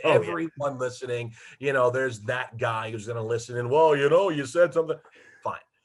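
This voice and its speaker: A normal speaking voice with an American accent, a fairly quick pace, and ordinary pitch variation. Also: man, medium pitch for a man. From Detroit, USA. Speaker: radio play-by-play hockey announcer. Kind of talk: interview answer, casual anecdotes. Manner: conversational, humorous.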